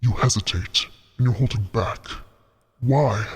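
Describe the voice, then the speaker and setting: In a put-on character voice, a man speaks quietly at a medium pitch. His pace is moderate. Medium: virtual streamer. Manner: quiet, intense, terse.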